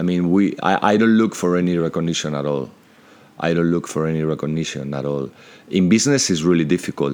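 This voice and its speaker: With a Spanish accent, a man speaks very fast in a very deep, low voice with ordinary pitch variation. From Spain, Madrid. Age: 50s. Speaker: entrepreneur. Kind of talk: interview.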